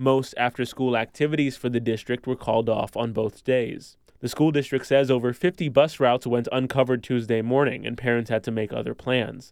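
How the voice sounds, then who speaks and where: Talking at a fairly quick pace, a man has a plain, everyday voice at medium pitch with fairly even intonation. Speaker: radio news anchor. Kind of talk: news reading, scripted radio newscast. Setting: studio. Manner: formal, steady, even-paced.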